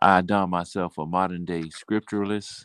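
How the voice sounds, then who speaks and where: In a very clean recording with a silent background and a dry, close sound with no echo, a man with an American accent speaks at a very deep, low pitch with ordinary pitch variation. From Mobile, Alabama, US South. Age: 60s. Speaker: poet and business owner. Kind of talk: interview. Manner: halting, many fillers.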